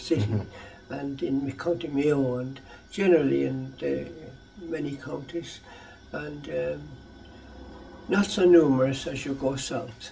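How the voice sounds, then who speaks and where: Against noticeable background noise, a man with an Irish accent and a fairly high pitch speaks at a fairly slow pace with lively intonation. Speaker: educator. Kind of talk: interview answer.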